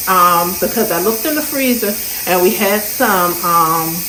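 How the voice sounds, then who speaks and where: Ordinary pitch variation amid noticeable background noise and audible room echo. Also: woman. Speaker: lifestyle vlogger. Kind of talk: casual vlog narration.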